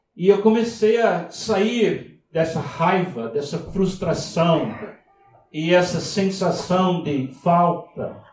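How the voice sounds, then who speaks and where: A man with an English accent and high pitch, speaking at a very slow pace amid audible room echo. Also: ordinary pitch variation. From US, Miami. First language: English (speaking Portuguese). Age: 70s. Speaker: visiting pastor. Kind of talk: sermon. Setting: church. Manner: halting.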